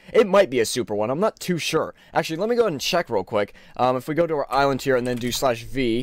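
Talking at a very fast pace, the man has a fairly high pitch. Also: lively intonation, hardly any pauses. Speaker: gaming YouTuber. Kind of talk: gameplay commentary. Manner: casual, filler-heavy. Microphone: new mic.

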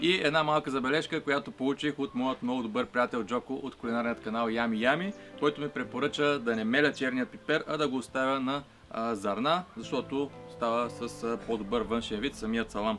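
Faint music plays in the background as a man talks with ordinary pitch variation. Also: moderate pace. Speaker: home cook host. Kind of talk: cooking tutorial. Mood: friendly, relaxed. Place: garden.

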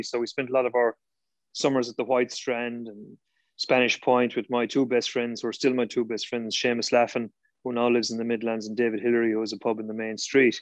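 A man talks at a fairly quick pace with an Irish accent. The sound is dry with no echo, and the background is quiet. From Ireland. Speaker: former Gaelic games player. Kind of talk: casual interview. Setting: video call. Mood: warm, reminiscing. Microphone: video call.

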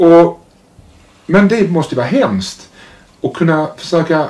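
With a high pitch and ordinary pitch variation, a man speaks at a fairly slow pace. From Sweden, Malmö; Sweden. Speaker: interviewer. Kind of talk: interview. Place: home room. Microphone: lapel.

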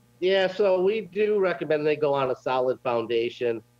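With ordinary pitch variation, the man keeps to a moderate pace. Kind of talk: interview answer. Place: home room. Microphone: video call.

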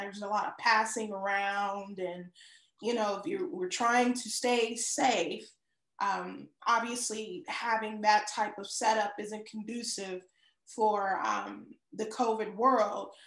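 A woman talks at a fairly slow pace with ordinary pitch variation. The background is quiet, with audible room echo. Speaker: show co-host. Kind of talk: casual talk show chat. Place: home room. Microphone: video call.

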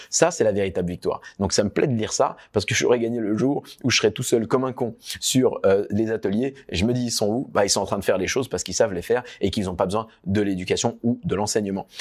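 In a quiet background, a man with an animated tone talks at a very fast pace with hardly any pauses, medium pitch and ordinary pitch variation. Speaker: entrepreneur and business coach; workshop host. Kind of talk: online workshop wrap-up; online workshop talk to clients. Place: office.

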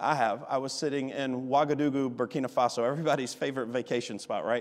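A quiet background surrounds a voice speaking in an American accent. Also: man. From US South, Alabama. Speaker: visiting missionary and preacher; preacher. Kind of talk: sermon. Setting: church with congregation. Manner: animated, passionate; directly addresses Ruth in dramatic retelling. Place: church. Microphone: podium.

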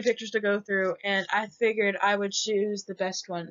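A woman at a moderate pace and medium pitch. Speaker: college student. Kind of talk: class presentation. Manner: hesitant, with fillers and stutters.

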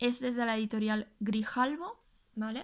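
A woman's fairly high voice, fairly even intonation and fairly slow pace on a very clean recording with a silent background. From Spain, Huesca (Aragon). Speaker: YouTuber and gluten-free food blogger. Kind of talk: casual video tutorial, show-and-tell. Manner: hesitant, with frequent repetitions.

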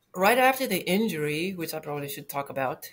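A woman with a fairly low pitch, music in the background. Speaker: interview guest. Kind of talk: interview answer. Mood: reflective, lightly amused. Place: home room.

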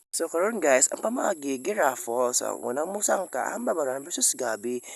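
Over a quiet background, a man with a fairly high pitch uses lively intonation and vocal fry in a dry sound with no echo. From Philippines. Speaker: vlogger. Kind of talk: vlog narration. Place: hall. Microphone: phone near.

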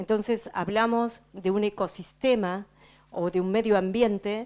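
A woman at a fairly slow pace with fairly even intonation. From Patagonia, Argentina; Argentina. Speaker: speaker. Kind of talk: speech to audience, interpreted. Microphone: handheld.

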